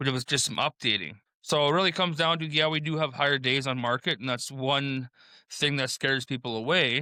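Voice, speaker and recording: A man mumbles at a fairly quick pace in a Saskatchewan accent, his pitch medium with ordinary variation. The sound is dry and close, with no echo. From Saskatchewan, Canada. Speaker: real estate investor. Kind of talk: casual podcast chat. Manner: mumbling.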